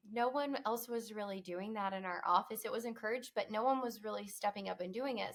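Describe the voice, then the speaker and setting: At a moderate pace, a woman with a fairly high pitch and ordinary pitch variation speaks in a normal speaking voice. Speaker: promotional products salesperson. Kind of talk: interview.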